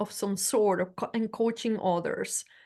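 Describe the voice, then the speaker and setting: With a Spanish accent, a woman speaks at a fairly high pitch and fairly even intonation over a quiet background. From Venezuela. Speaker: leadership coach. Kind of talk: presentation in interview.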